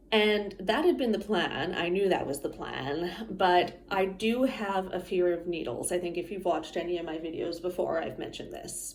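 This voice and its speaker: With noticeable background noise behind her, a woman with a fairly low pitch talks at a moderate pace, hardly pausing at all. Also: ordinary pitch variation. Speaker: vlogger sharing health experience. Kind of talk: casual personal vlog. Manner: casual, with frequent fillers.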